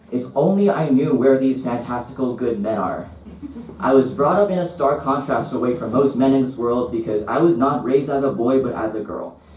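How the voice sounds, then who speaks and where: The speech has ordinary pitch variation and a moderate pace, with audible room echo and noticeable background noise around it. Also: man. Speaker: visual artist. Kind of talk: reading aloud. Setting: stage with audience. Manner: stutter.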